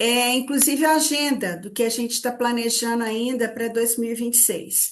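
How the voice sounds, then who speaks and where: With a Minas Gerais accent, a woman talks at a moderate pace in a high voice. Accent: Minas Gerais (mineiro). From Minas Gerais, Brazil. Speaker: psychology institute director, therapist trainer. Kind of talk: online study group presentation. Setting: video call / live stream. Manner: hesitant repetitions.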